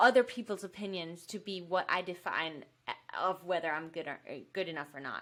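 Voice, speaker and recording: In a Danish accent, the speaker has a bright, sharp tone and ordinary pitch variation. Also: woman. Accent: Danish accent, imperfect English. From Denmark. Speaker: fitness YouTuber and podcaster. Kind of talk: podcast interview. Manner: casual, uses many fillers.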